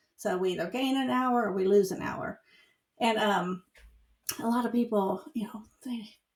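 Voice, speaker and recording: A woman with a fairly high, somewhat breathy voice speaks at a moderate pace with ordinary pitch variation and long, frequent pauses. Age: 60s. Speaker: podcast co-host. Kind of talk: casual chat. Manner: halting, many fillers.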